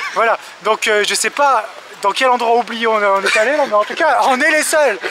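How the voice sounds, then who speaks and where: Over noticeable background noise, a man speaks in an animated tone with a raised, projected voice, an extremely high pitch, ordinary pitch variation and a moderate pace. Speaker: travel vlogger. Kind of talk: casual vlog commentary.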